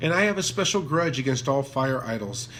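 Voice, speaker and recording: This man's voice is pitched in the medium range. It moves up and down with ordinary variation. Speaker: channel host reading philosophy aloud. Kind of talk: reading aloud. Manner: louder, clearer enunciation than before.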